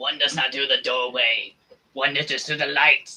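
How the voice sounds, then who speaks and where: Using a put-on character voice, a man talks at a moderate pace with a fairly high pitch and a monotone, flat intonation. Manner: ominous, menacing.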